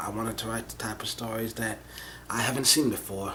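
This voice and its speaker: Over noticeable background noise, a man speaks at a fairly quick pace with a medium pitch. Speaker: vlogger. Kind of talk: casual monologue vlog. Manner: rambling, halting with false starts; soft-spoken, mumbling.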